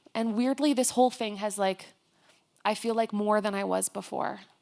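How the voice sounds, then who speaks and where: In a very clean recording with a silent background, a woman with an ordinary speaking voice talks at a moderate pace and with fairly even intonation. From Canada. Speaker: professor and author. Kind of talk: onstage interview. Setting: stage with audience.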